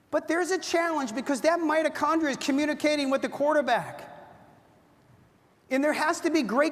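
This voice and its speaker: A woman speaks at a fairly quick pace in a high voice. Her tone is animated. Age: 60s. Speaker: product presenter. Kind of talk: sales pitch.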